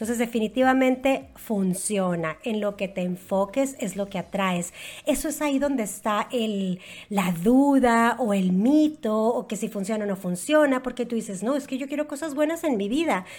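A woman's somewhat breathy voice, fairly high in pitch, carries lively intonation. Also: moderate pace. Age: 40s. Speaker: network marketer. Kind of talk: interview.

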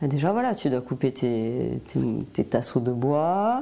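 Her tone dark and mellow, a woman speaks at a very slow pace with very wide pitch swings. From southern France, Tarn. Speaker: painter. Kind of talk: interview. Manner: hesitant, many fillers.

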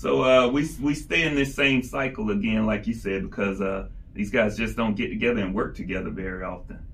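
A man with an American accent at a medium pitch and fairly quick pace, with ordinary pitch variation, audible room echo and noticeable background noise. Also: hardly any pauses. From South Georgia (Albany), US South. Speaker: podcast co-host. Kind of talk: casual chat. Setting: studio, recording in person in Atlanta.

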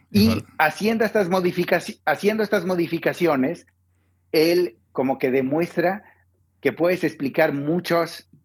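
A high-pitched man with lively intonation at a fairly slow pace, very even loudness, and long, frequent pauses. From Mexico. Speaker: economist. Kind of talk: interview.

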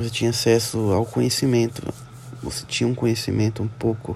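A man speaks at a moderate pace and medium pitch, with noticeable background noise behind him. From interior of São Paulo, Brazil. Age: 20s. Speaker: business student. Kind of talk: student presentation. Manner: halting.

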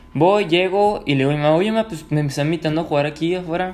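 Talking at a fairly quick pace, a man uses a high pitch with ordinary variation. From Mexico, Ciudad Juárez, Chihuahua. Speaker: podcaster. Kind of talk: casual storytelling monologue. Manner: relaxed, filler-heavy.

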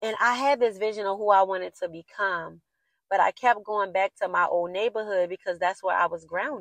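In an American accent, a woman uses a normal speaking voice at a fairly quick pace, with a dry, close sound and no echo. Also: medium pitch for a woman, ordinary pitch variation. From US, Baltimore inner city. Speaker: podcast host. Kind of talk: casual solo monologue, motivational.

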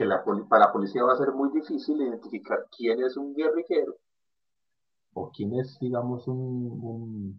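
A man with a Colombian paisa accent, medium pitch, ordinary pitch variation and a fairly slow pace. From Colombia, Medellín. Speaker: podcast collaborator. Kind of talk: casual chat.

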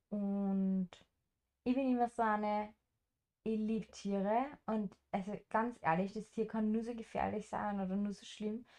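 A woman speaks at a fairly high pitch in a dark, mellow tone, her intonation monotone and flat, with long, frequent pauses. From rural farm upbringing, German-speaking. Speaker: travel podcast co-host and house sitter. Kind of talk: casual chat.

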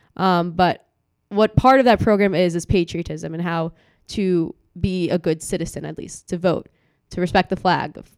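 Using an ordinary speaking voice, a woman with an American accent speaks at a moderate pace and a fairly low pitch with fairly even intonation, the sound dry and close with no echo. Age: young. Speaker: student political activist. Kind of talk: interview.

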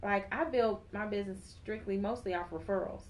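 A woman with a plain, everyday voice speaks at a moderate pace, her medium pitch carried by fairly even intonation. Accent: American. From Chicago. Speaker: hairstylist and salon owner. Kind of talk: interview.

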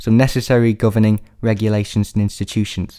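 Speaking very fast in a Yorkshire accent, the man has a medium pitch, a dark, mellow tone and fairly even intonation. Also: very clean recording, silent background. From northern England, Sheffield, Yorkshire. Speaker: sociology student and musician. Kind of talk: scripted academic presentation.

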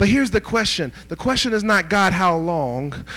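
In a very clean recording with a silent background, a man speaks at a moderate pace. His pitch is high, and his tone is bright, sharp and animated. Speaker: pastor. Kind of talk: sermon. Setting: church with congregation. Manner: call-and-response, exhorting the congregation; animated, fervent, rising intensity.

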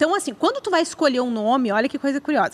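A woman's high voice with lively intonation. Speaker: podcast co-host. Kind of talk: casual chat. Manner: talkative, playful.

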